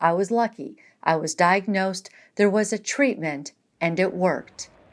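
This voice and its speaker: A woman with a plain, everyday voice speaks at a moderate pace in a medium pitch, with ordinary pitch variation. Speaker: medical journalist. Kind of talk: documentary narration.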